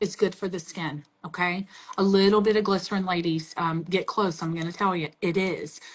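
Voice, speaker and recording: A woman talks in a strong Southern US accent. Her intonation stays fairly even. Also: medium pitch for a woman, moderate pace. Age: 40s. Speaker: makeup brand representative. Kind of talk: casual chat.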